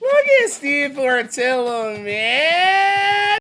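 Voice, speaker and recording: A man's raised, projected voice with very wide pitch swings over noticeable background noise. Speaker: gaming YouTuber. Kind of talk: casual gameplay commentary. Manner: animated; loud.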